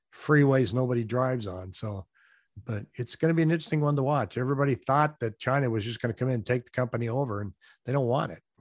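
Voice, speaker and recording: A man's medium-pitched voice at a very fast pace, dry and close with no echo, against a quiet background. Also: ordinary pitch variation. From US Pacific Northwest. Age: 60s. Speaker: real estate agent and YouTuber. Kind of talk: casual interview. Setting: video call.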